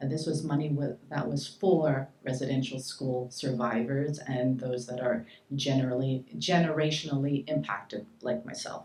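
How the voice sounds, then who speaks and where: Against noticeable background noise, a woman with a very deep, low pitch talks at a moderate pace with hardly any pauses and ordinary pitch variation. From Montreal, Quebec (adopted from Saskatchewan). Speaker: shelter director and community activist. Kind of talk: panel talk.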